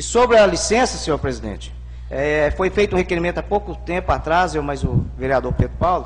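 Light background noise accompanies a man talking at a fairly quick pace. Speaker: city councillor. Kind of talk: heated debate. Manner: animated, plain-spoken. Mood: firm, indignant. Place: hall. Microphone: podium.

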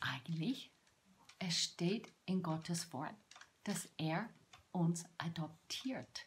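Speaking very slowly with long, frequent pauses, a woman uses a fairly low, somewhat breathy voice with ordinary pitch variation over light background noise. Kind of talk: devotional talk to camera. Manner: halting. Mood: warm, heartfelt, animated. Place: home room. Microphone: phone near.

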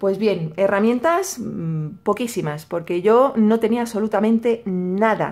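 Lively intonation marks this woman's speech in a Madrid accent. She moves at a fairly slow pace. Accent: Madrid Spanish (Castilian). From Madrid, Spain. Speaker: YouTuber, crafts channel. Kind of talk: casual vlog / tutorial. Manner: hesitant, many fillers and repetitions.

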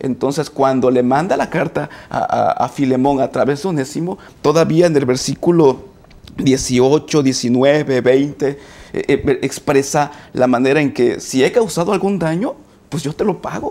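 At a fairly slow pace, a man with a fairly high pitch and a dark, mellow tone speaks with ordinary pitch variation. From Mexico, Coatzacoalcos, Veracruz. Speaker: teacher and graduate student. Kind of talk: panel discussion. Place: studio. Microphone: lapel.

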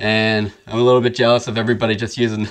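Here a man talks. The pace he keeps is fairly quick. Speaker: photographer tutorial host. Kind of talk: tutorial. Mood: relaxed, friendly. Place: studio. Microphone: studio mic.

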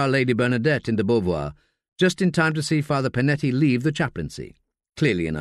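Someone reads aloud plainly. The background is quiet.

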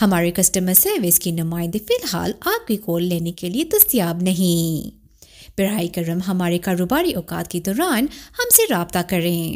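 This woman has an ordinary speaking voice, medium in pitch, with ordinary pitch variation. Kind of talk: phone IVR automated call greeting.

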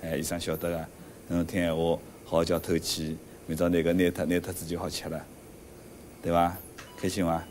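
With a Shanghainese accent, a man speaks in a very deep, low pitch and flat, monotone intonation at a fairly quick pace, leaving long, frequent pauses amid light background noise. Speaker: cardiac surgeon. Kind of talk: doctor talking to patient family. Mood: calm, gentle, explanatory.

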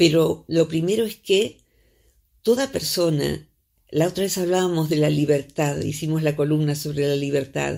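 A woman's very deep, low voice with a dark, mellow tone, ordinary pitch variation and a moderate pace, over a quiet background. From Argentina. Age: 60s. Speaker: psychologist; psychologist radio columnist. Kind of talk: radio interview. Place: studio.

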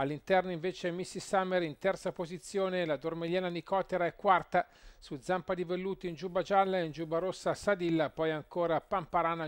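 In a high pitch and an excited tone, a man talks at a fairly quick pace, the sound dry and close with no echo. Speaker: horse racing commentator. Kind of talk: live race commentary. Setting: racetrack commentary. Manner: fast, rhythmic, building to an excited, punchy finish.

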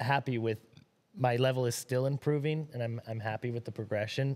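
With ordinary pitch variation, this man speaks at a moderate speed. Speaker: podcast guest. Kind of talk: casual chat. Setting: studio. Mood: relaxed, friendly. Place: shop. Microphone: studio mic.

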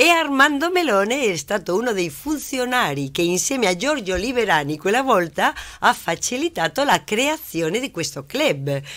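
Vocal fry and very wide pitch swings from a woman at a fairly high pitch and moderate pace. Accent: Spanish. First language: Spanish (speaking Italian). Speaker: business owner, labour consultant. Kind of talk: studio interview. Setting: TV studio.

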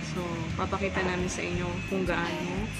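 A woman talks. There is music in the background. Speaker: vlogger. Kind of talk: casual vlog chat. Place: cafe. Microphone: phone near.

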